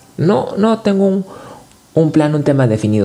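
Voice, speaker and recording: Very wide pitch swings in a man's fairly high voice, delivered at a moderate pace. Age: 30s. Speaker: podcast host. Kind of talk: motivational monologue. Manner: halting.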